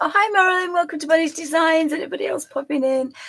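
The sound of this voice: A croaky, put-on character voice rattles along at a very fast pace. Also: woman, extremely high pitch for a woman.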